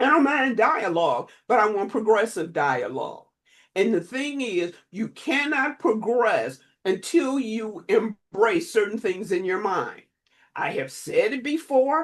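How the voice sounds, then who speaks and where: Fairly high-pitched and fairly slow, a woman talks with vocal fry and very wide pitch swings. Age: 70s. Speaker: relationship counselor. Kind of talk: podcast interview. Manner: emphatic.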